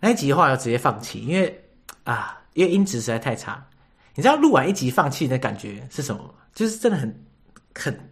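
This man talks at a fairly quick pace with very wide pitch swings. His voice is somewhat breathy. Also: fairly high pitch for a man. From Taiwan. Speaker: podcast host. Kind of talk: casual interview chat.

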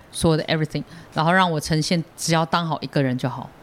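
In a very clean recording with a silent background, a man talks at a very fast pace with a fairly high pitch. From Taiwan. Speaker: stand-up comedian. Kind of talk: casual chat.

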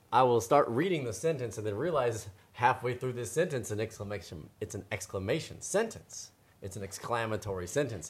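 The man's medium-pitched voice is somewhat breathy, with lively intonation. He speaks at a fairly quick pace in a playful tone. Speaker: picture book reader and podcast co-host. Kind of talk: casual chat and reading aloud. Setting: live online audio room. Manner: playful, joking.

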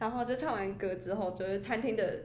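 Audible room echo surrounds this woman's voice. Noticeable background noise runs underneath. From Taiwan, Taichung. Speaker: podcast co-host. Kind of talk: casual chat.

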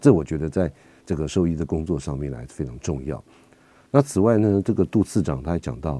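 A man's very deep, low voice with a dark, mellow tone and vocal fry, lively intonation at a fairly quick pace, in a dry, close sound with no echo. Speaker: veterinarian and radio host. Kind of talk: radio talk show.

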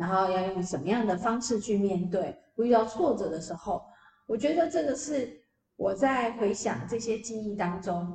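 A woman's medium-pitched voice, with very wide pitch swings and a fairly slow pace. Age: 50s. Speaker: PR agency founder and author. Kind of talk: interview.

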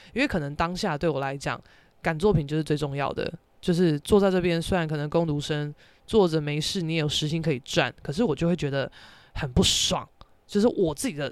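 Speaking at a fairly quick pace, a woman with a very deep, low pitch uses an animated tone. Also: ordinary pitch variation. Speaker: podcast host and painter. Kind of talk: casual solo monologue.

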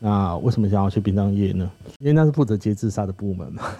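A man talks at a very fast pace with lively intonation. His voice is fairly low-pitched, with a dark, mellow tone. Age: 30s. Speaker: former crematorium worker and author. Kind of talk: casual interview chat.

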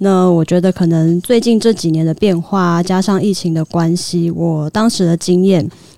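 A woman speaks at a moderate pace and a fairly low pitch, with hardly any pauses. Her intonation is fairly even and her loudness very even. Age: 30s. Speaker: arts worker. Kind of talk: casual chat.

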